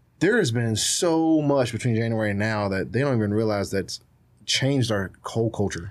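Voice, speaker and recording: In an unremarkable speaking voice, a man talks with an American accent at medium pitch. His pace is moderate and his pitch variation ordinary. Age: 20s. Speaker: social media content creator. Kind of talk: casual chat. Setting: studio.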